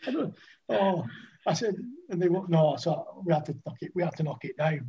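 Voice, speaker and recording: With a Lancashire accent and a dark, mellow tone, a man speaks at a high pitch and a moderate pace with ordinary pitch variation. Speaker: retired cricketer. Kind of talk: casual chat.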